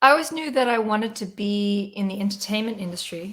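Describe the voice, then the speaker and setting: A woman speaks with an American accent at a fairly quick pace. Her pitch is medium, with ordinary variation. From South Africa. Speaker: singer-songwriter. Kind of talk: interview on a livestream. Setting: video call from home.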